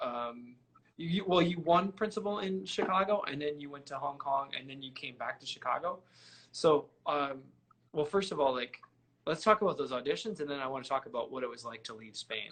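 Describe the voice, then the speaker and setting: Fairly high-pitched and fairly quick, a man talks with a Midwestern US accent, lively intonation and big swings in loudness. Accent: US Midwest. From Michigan. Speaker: trumpet player and interviewer. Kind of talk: casual interview. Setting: live stream.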